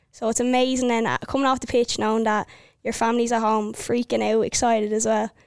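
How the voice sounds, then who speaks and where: A woman talks at a very fast pace in a fairly high pitch. Her intonation is monotone and flat, and the recording is dry and close with no echo. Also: very clean recording, silent background. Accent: Irish. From Ireland, County Wicklow. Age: 20s. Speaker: army officer and soccer player. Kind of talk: casual interview.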